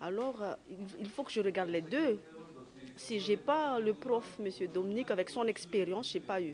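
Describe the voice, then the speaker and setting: Through noticeable background noise, a woman speaks at a moderate pace with lively intonation. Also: medium pitch for a woman. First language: not French (speaking French). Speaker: trainee. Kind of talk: interview.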